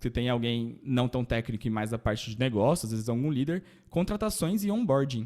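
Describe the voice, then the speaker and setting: Speaking at a fairly quick pace, a man with a dark, mellow tone moves through very wide pitch swings. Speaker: data engineer panelist. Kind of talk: panel presentation. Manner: casual, hesitant fillers.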